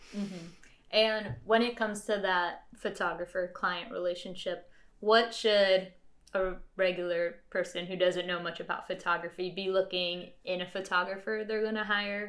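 At a moderate pace, a woman uses a normal speaking voice with fairly even intonation. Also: medium pitch for a woman. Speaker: podcast host. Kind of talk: casual interview.

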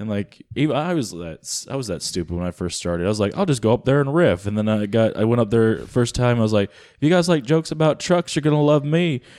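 A man with an American accent speaks very fast with hardly any pauses, in a dark, mellow tone at a medium pitch. His pitch and loudness both swing widely, on a very clean recording with a silent background. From US South. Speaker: stand-up comedian. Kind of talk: casual chat between comedians.

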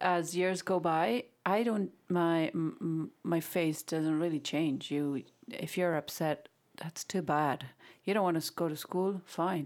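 In a very clean recording with a silent background, a woman speaks at a fairly slow pace and fairly low pitch, with ordinary pitch variation. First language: Spanish. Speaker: real estate agent. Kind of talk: casual panel discussion. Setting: on location, background noise.

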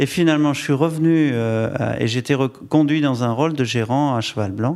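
With a plain, everyday voice, a man talks at a moderate pace with ordinary pitch variation. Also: very clean recording, silent background. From France, Bordeaux region. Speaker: wine estate director. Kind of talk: public interview. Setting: stage with audience.

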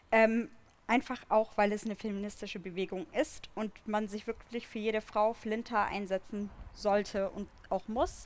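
A woman speaks in a normal speaking voice. Her intonation stays fairly even at a moderate pace. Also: fairly high pitch for a woman. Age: 20s. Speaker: activist. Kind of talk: live panel discussion. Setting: stage with audience outdoors.

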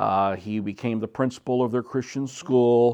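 Here is a man with an American accent and an ordinary speaking voice. His pitch is medium with ordinary variation, over a quiet background. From Mexico (Cuernavaca, Morelos), American-born. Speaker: missionary family member. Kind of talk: interview testimony. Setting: recorded interview.

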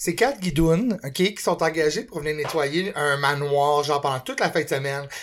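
Moderate pace with hardly any pauses, in a Quebec accent. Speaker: podcast co-host. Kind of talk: casual chat.

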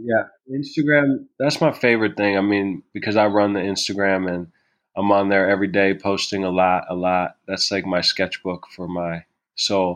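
Heard over a quiet background, an ordinary speaking voice with an American accent moves at a moderate pace with ordinary pitch variation. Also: man, fairly low pitch for a man. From New York City. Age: 30s. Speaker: musician and artist. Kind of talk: casual interview chat.

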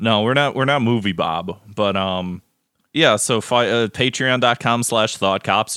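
Using a plain, everyday voice, a man with a fairly low pitch talks at a fairly slow pace with ordinary pitch variation. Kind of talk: casual comedic banter.

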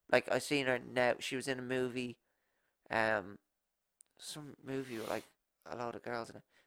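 Long, frequent pauses break up this speech in an Irish accent. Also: moderate pace. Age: 20s. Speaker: podcast host. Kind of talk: casual chat. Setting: studio, video recording.

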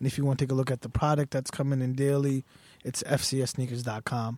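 Recorded with a dry, close sound and no echo, a man with an American accent speaks in a dark, mellow tone. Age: 20s. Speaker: sneaker store owner. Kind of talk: casual chat. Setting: studio.

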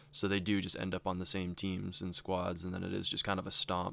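On a very clean recording with a silent background, a man with an ordinary speaking voice talks at a moderate pace. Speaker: co-host. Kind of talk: casual chat about a game.

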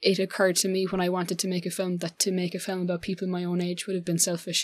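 A woman talks at a very fast pace with an Irish accent and a medium pitch. The recording is very clean, with a silent background. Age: 20s. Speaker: filmmaker. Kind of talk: interview.

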